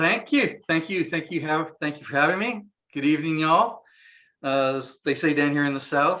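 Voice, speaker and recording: A man's fairly high, bright, sharp voice with a slight San Diego accent. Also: ordinary pitch variation, moderate pace. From San Diego, California. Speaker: inventor. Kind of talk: interview. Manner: halting, many fillers.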